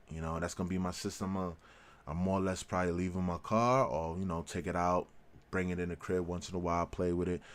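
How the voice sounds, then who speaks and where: Very deep and low, a man's voice carries an American accent and an animated tone at a fairly quick pace. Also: very clean recording, silent background. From New York. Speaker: tech and gaming YouTuber. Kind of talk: casual vlog commentary. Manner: halting.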